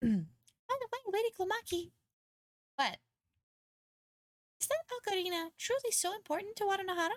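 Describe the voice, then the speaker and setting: This female-sounding put-on character voice is squeaky and extremely high, moving at a moderate pace with long, frequent pauses. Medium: virtual streamer. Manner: polite, correcting.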